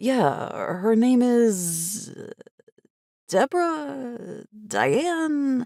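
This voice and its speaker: A woman uses a put-on character voice, fairly high and swinging very widely in pitch. She talks at a very slow pace with long, frequent pauses. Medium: read story. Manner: friendly, slightly sheepish.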